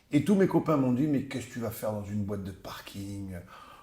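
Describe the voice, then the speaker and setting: A man talks at a moderate pace in a somewhat breathy, fairly low voice with a dark, mellow tone. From southern France, Narbonne. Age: 60s. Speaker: businessman and rugby club president. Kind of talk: interview. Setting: office. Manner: hesitant, many fillers.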